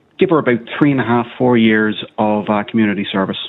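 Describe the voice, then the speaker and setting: The pace here is fairly quick. It's a man talking with an Irish accent. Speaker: caller. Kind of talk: phone-in radio chat. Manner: fast.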